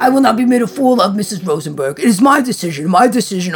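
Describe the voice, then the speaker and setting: In a raspy, put-on character voice, the speaker rushes at a very fast pace with lively intonation as clear music plays in the background. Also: man. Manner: stern, cold, authoritative.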